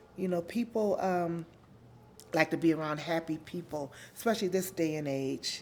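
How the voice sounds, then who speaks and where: A woman speaks at a moderate pace, with fairly low pitch and ordinary pitch variation. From Los Angeles, California (Watts). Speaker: interviewee sharing life story. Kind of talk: interview, personal life story. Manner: loud; giggly, laughs a lot.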